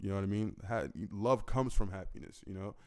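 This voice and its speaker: In a very clean recording with a silent background, a man speaks at a fairly quick pace with fairly even intonation. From United States. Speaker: rapper. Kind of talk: casual Q&A monologue. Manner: casual, halting with fillers.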